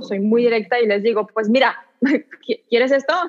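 Fairly even in intonation, this woman's voice sits at a fairly high pitch. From southern France. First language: French (speaking Spanish). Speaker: actress. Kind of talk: interview.

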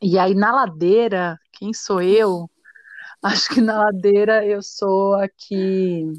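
On a very clean recording with a silent background, a woman speaks very slowly at a medium pitch with fairly even intonation. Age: 30s. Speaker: dancer and arts educator, feminist activist. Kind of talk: interview.

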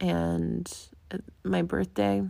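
A woman speaks at a very slow pace. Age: 30s. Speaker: podcast host. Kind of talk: solo monologue. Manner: casual, laughing often.

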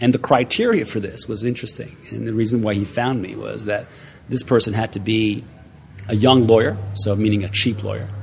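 A man talks at a fairly quick pace in a monotone, flat intonation. Noticeable background noise runs underneath. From Montreal, Quebec. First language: French. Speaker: author and speaker. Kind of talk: interview chat. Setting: sitting on a couch at a conference.

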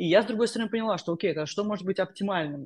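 Against a quiet background, a woman speaks. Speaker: tech analytics professional. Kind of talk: interview. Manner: halting.

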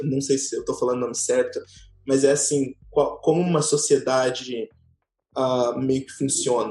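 A man keeps a moderate pace while music sounds in the background. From Brazil, Tocantins. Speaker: former tour guide. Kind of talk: casual chat.

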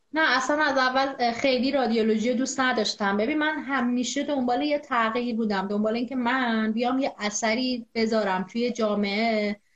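A woman's high-pitched voice at a moderate pace, with very even loudness. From Iran, Zanjan. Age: 20s. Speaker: epidemiologist and deaf-community activist. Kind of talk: interview. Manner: energetic.

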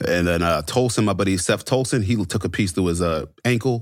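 A man with a normal speaking voice talks at a fairly quick pace in a fairly low pitch. He speaks with an American accent and ordinary pitch variation. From US military bases, born Fort Knox, Kentucky. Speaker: police officer and army veteran. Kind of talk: interview storytelling.

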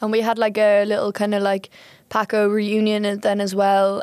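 The recording is very clean, with a silent background. A woman with an Irish accent talks at a moderate pace and medium pitch, in a monotone, flat intonation. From Ireland. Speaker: student volunteer. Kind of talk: casual chat.

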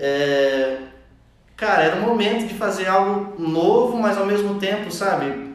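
The speech moves at a fairly slow pace. Audible room echo and noticeable background noise are present. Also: man, high pitch for a man, lively intonation. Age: 20s. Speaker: podcast co-host. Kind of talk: casual chat.

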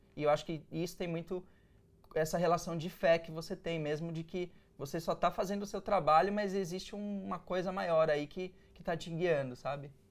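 Speaking at a moderate pace, a man with a high voice keeps his intonation fairly even. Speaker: advertising creative and entrepreneur. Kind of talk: interview.

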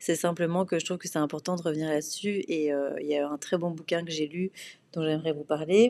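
A woman speaks with a fairly low pitch, a dark, mellow tone and fairly even intonation. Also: fairly quick pace. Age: 30s. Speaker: podcast host, PR consultant. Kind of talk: solo podcast monologue. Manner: hesitant, many fillers and repetitions.

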